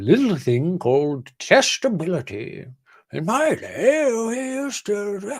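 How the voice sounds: A fairly high put-on character voice is delivered at a fairly slow pace.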